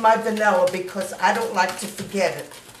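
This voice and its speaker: A woman speaks with noticeable background noise. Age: 80s+. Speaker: home baker. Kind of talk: cooking demonstration.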